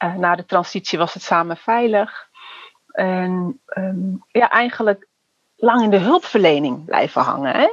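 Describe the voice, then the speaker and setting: A woman's plain, everyday voice, medium in pitch, fairly slow, with ordinary pitch variation and big swings in loudness. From Netherlands, Surinamese family. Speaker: youth care worker and trainer. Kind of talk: casual interview conversation.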